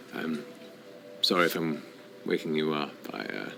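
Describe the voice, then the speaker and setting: A man does a growling, put-on character voice at a moderate pace with clear background noise. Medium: actual play. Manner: soft-spoken, intimate.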